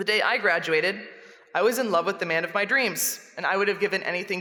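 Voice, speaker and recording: Against noticeable background noise, a woman speaks very fast at a medium pitch with lively intonation. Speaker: chapel speaker and English teacher. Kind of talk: chapel talk. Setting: large room, speaking to students.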